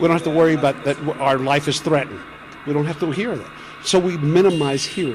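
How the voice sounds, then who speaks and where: Noticeable background noise sits under a man with a fairly high pitch who talks at a very fast pace with ordinary pitch variation. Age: 60s. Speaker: sound artist. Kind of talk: interview. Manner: repetitive, hesitant.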